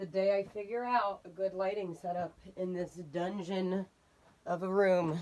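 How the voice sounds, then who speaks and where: A woman's monotone, flat delivery at a fairly slow pace. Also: medium pitch for a woman. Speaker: vlogger and daycare teacher. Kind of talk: casual vlog. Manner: casual, chatty.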